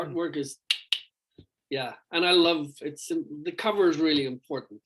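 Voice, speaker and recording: A man with an Irish accent speaks at a fairly high pitch with fairly even intonation. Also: moderate pace. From Ireland. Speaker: rock vocalist. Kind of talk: interview. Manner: halting, many fillers.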